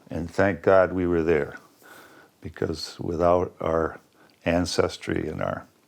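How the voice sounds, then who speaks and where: This man has an American accent. His voice sits very deep and low. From US Midwest. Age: 70s. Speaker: retired land trust director and former journalist. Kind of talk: interview.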